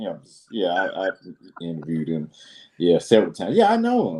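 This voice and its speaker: This man talks with a Southern US accent. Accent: Southern drawl. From Alabama, Birmingham. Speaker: business consultant and show host. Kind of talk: casual interview chat. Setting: live video stream. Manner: animated.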